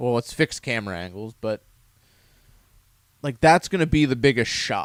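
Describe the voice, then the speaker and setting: Recorded very cleanly against a silent background, a man speaks at a medium pitch with a dry, close sound and no echo. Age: 30s. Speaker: gaming podcast co-host. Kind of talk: casual chat.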